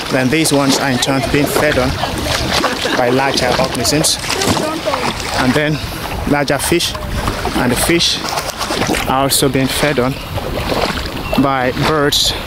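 A man at a fairly slow pace with long, frequent pauses, a dry sound with no echo and loud background noise. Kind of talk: explanatory field commentary. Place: boat. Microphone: phone near.

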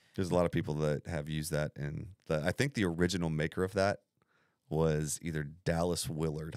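A man speaks fairly quickly in a very deep, low voice with ordinary pitch variation. The recording is very clean and dry, close-sounding with a silent background and no echo. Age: 40s. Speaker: pastor. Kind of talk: casual chat.

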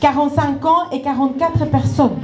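A woman's voice with a Spanish accent, light background noise and audible room echo. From Ecuador. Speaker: nonprofit director. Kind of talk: welcome speech. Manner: halting. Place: stage. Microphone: handheld.

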